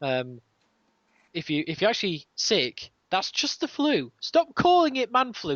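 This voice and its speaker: The pace here is moderate. A man delivers it in a British accent. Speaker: podcast host. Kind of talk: casual chat.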